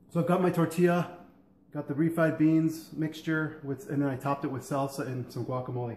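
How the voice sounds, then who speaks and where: Fairly quick and with fairly even intonation, a man speaks amid audible room echo and light background noise. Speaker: home cook vlogger. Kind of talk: casual cooking vlog chat. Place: kitchen. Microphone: camera far.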